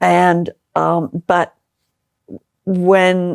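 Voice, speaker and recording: The sound is dry and close, with no echo. A woman with an American accent speaks at a fairly low pitch. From Liverpool, England. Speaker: political candidate. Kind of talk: interview. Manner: halting with many fillers and repetitions.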